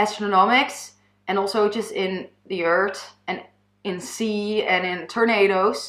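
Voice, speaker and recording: A woman with a Dutch accent, medium pitch, and a very slow pace. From Netherlands. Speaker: YouTuber. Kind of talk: personal testimony. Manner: halting.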